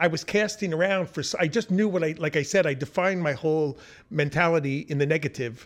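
An animated, enthusiastic man with a fairly high pitch and an American accent at a very fast pace, with ordinary pitch variation and a quiet background. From Long Island, New York. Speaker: art expert and professor. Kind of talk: casual interview.

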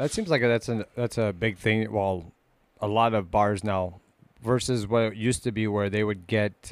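Recorded very cleanly against a silent background, a normal speaking voice moves at a moderate pace with fairly even intonation. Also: man. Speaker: co-host. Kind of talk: casual chat. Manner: crude, joking.

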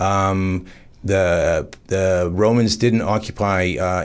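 With a Canadian accent, a man speaks in an unremarkable speaking voice, fairly low in pitch with ordinary pitch variation. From Canada. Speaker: history enthusiast. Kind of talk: radio interview. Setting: studio.

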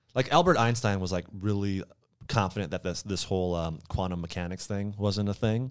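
In a very clean recording with a silent background, a man with an ordinary speaking voice talks at a fairly quick pace and fairly low pitch, with ordinary pitch variation. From Minnesota. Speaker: YouTuber. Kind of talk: casual chat.

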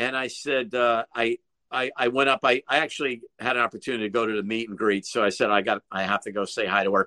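In an American accent, a man talks very fast at a medium pitch, his tone bright and sharp and his intonation fairly even. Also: dry, close sound with no echo. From Connecticut. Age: 60s. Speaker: rock guitarist. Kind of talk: interview. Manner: halting.

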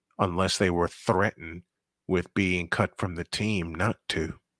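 Speaking at a fairly slow pace, a man with an American accent and a very deep, low pitch comes through on a very clean recording with a silent background. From Chicago, US Midwest. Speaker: sports talk radio host. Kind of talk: sports radio rant, heated and emotional. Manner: animated, emotional, indignant; emphatic, repeating phrases for punch.

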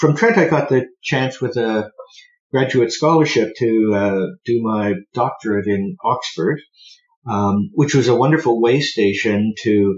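A man with a Canadian accent talks at a moderate pace, his pitch fairly low. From Ontario, Canada (Burlington, near Hamilton and Toronto). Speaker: historian. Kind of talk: interview about his book. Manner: halting, with frequent fillers.

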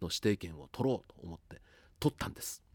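A man with a plain, everyday voice talks at a moderate pace and fairly low pitch with lively intonation, the sound dry and close with no echo in a very clean recording with a silent background. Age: 50s. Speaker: radio announcer. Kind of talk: casual monologue.

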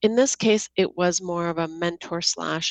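Over a quiet background, a woman with an ordinary speaking voice talks fairly slowly at a fairly low pitch with ordinary pitch variation, the sound dry and close with no echo. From Seattle, US Pacific Northwest (born in Georgia, the country). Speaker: app co-founder, tech executive. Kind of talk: podcast interview.

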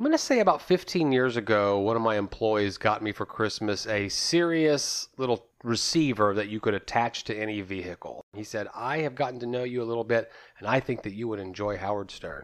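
The recording is very clean, with a silent background. The pace is fairly quick, and the pitch varies in an ordinary way. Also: man, medium pitch for a man, hardly any pauses. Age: 40s. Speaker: podcast host. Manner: dramatic, game-show-host style delivery.

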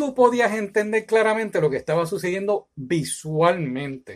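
With a Puerto Rican accent, a man talks at a moderate pace in a high voice with lively intonation. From Puerto Rico, San Juan. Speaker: YouTuber, film reviewer. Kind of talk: opinion monologue, film review. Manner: animated.

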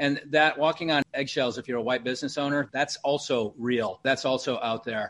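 This man has a plain, everyday voice at medium pitch, with fairly even intonation and a moderate pace. He barely pauses, and the background is quiet. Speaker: podcast host and business owner. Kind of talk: interview.

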